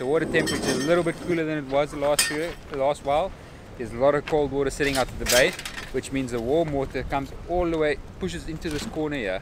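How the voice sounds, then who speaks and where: A man talks at a very fast pace with ordinary pitch variation, the sound dry with no echo yet marked by noticeable background noise. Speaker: fishing guide vlogger. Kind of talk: casual vlog chat. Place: beach. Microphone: phone near.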